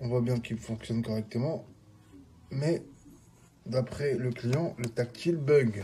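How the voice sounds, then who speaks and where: A man's somewhat breathy, dark and mellow voice at medium pitch, with ordinary pitch variation, a very slow pace and long, frequent pauses. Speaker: phone repair technician. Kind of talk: tutorial. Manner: hesitant, many fillers.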